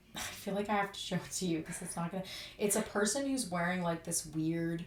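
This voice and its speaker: A woman talks at a fairly quick clip while noticeable noise runs in the background. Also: medium pitch for a woman, ordinary pitch variation. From Canada. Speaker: podcast host. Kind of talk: casual chat. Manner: animated.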